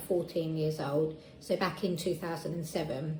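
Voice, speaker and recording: The speaker has an Essex accent and a moderate pace. Audible room echo and noticeable background noise surround the voice. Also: woman. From Essex, England. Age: 30s. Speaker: patient sharing experience. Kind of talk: testimony.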